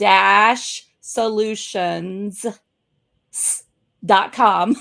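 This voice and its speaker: In a very clean recording with a silent background, a woman speaks with an American accent. Her tone is animated and her pitch fairly high. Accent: Southern US, getting thicker. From US South. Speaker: business coach and show host. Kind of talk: casual interview chat.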